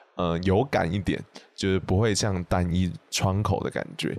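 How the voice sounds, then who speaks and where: A man speaks with a Taiwanese accent and a very deep, low pitch. His pace is moderate and his intonation fairly even. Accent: Taiwanese Mandarin. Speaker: podcast host. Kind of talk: casual chat.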